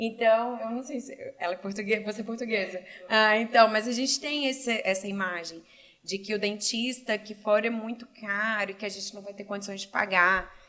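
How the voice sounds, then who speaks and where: A plain, everyday voice from a woman, fairly high in pitch, at a fairly quick pace with fairly even intonation and big swings in loudness. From Brazil, Cascavel, Paraná. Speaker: entrepreneur and doctoral student. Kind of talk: casual interview.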